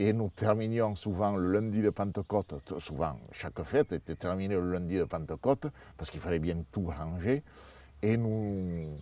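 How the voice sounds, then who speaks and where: In a southern French accent, a man speaks at a fairly slow pace with a fairly low pitch and a dark, mellow tone. His pitch varies in an ordinary way, and the recording is very clean with a silent background. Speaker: parents' association co-founder. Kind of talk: interview answer.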